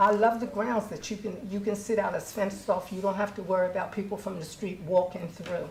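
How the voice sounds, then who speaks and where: A woman speaks at medium pitch with audible room echo. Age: 70s. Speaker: public housing resident making a complaint. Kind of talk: public comment at a board meeting. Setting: public board meeting.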